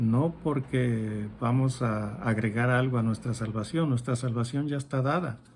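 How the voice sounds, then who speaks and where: Somewhat breathy and fairly even in intonation, this man's voice moves at a very slow pace. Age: 60s. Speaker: Bible study teacher. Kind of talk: Bible teaching.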